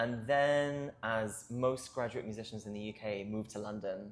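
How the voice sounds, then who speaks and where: With music in the background, a man with a Welsh accent speaks in a fairly low pitch and fairly even intonation. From South Wales. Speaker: choir co-director. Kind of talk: interview.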